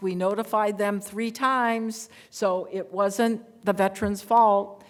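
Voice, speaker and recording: A woman speaks very slowly at a medium pitch, her intonation monotone and flat, in a very clean recording with a silent background. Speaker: veterans legal advocate. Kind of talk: panel presentation with Q&A.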